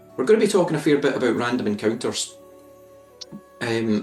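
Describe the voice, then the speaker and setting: Very fast talk from a man at a medium pitch, lively intonation, music in the background. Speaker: author. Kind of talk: audiobook reading by the author.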